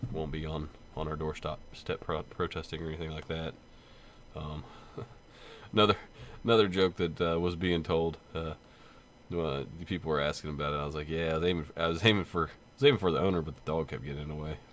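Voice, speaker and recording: A man's very deep, low voice at a very fast pace, broken by long, frequent pauses, with big swings in loudness and fairly even intonation. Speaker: gaming channel host and police officer. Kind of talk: casual vlog unboxing. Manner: halting, many fillers.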